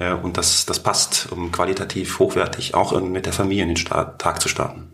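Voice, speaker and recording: A man with a very deep, low pitch speaks in a monotone, flat way, noticeable background noise behind him. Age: 40s. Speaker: business executive. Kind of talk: interview. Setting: studio office.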